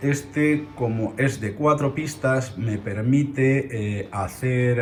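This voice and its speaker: A man at a very slow pace and medium pitch, with music in the background. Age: 60s. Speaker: audio equipment collector. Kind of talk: equipment tour. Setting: home listening room. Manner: hesitant, with filler sounds.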